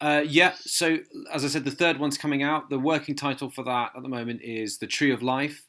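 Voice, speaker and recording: In a very clean recording with a silent background, a man with an English accent speaks in a bright, sharp tone. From southern England, Hampshire. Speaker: fantasy author. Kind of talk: radio interview. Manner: halting, many fillers.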